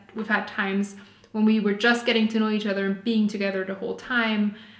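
Over audible room echo, a woman with a fairly high pitch and a German accent speaks at a fairly quick pace in monotone, flat intonation. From Austria. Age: 20s. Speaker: vlogger. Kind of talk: casual chat. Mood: relaxed, cheerful. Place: home room.

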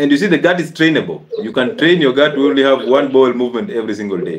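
A man speaks at a fast pace with lively intonation. Audible room echo surrounds his voice. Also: medium pitch for a man.

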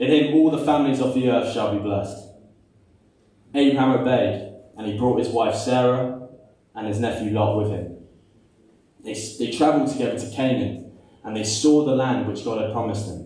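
A man speaks with long, frequent pauses and ordinary pitch variation. Strong room echo surrounds his voice. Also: moderate pace. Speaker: preacher. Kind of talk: sermon. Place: church. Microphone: camera far.

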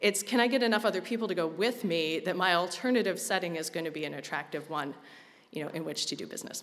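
A woman talking very fast with lively intonation. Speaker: conference presenter. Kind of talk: lecture. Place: hall. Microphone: podium.

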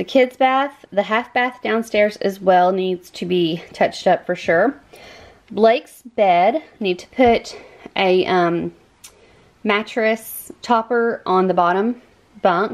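A woman talks at a very slow pace. Her pitch variation is ordinary. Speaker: cleaning vlogger. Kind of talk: casual vlog chat. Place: home room. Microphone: phone near.

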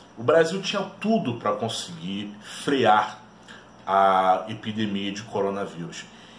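Delivery is very slow with ordinary pitch variation, while light background noise and audible room echo fill the recording. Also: man, fairly low pitch for a man. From Brazil. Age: 30s. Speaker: history teacher and YouTuber; history teacher, YouTuber. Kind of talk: educational video monologue. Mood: earnest, persuasive. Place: home room. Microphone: webcam.

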